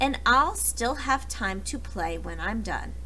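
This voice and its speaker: Delivered at a fairly slow pace, the put-on character voice plays against clear background noise. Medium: read story.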